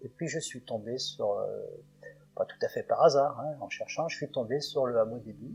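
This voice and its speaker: A man speaks at a moderate pace with big swings in loudness while music plays in the background. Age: 70s. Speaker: retired eco-village resident. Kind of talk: interview testimony. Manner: halting.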